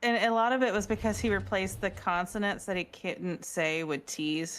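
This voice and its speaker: A woman with a Southern accent speaks with ordinary pitch variation on a very clean recording with a silent background. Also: medium pitch for a woman, moderate pace. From US South. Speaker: podcast co-host. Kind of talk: casual chat.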